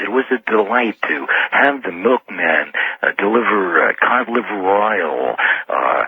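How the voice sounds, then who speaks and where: A man at a fairly slow pace with lively intonation and an American accent, over noticeable background noise. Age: 60s. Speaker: caller. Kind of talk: call-in radio discussion. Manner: halting, many fillers.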